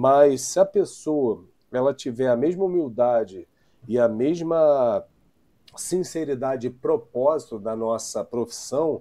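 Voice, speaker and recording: A man speaks very slowly in a dark, mellow tone at medium pitch with ordinary pitch variation. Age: young. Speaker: podcast host, safety professional. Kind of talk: casual interview chat. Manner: hesitant, many fillers.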